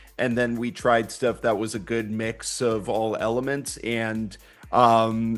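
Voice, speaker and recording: Against music in the background, the speech is very slow, with monotone, flat intonation. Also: man, medium pitch for a man. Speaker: voice actor. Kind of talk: interview answer.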